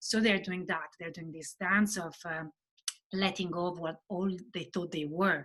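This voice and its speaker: A woman speaks in an Italian accent at a moderate pace. Her intonation stays fairly even. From Italy. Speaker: novelist. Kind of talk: interview chat. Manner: halting.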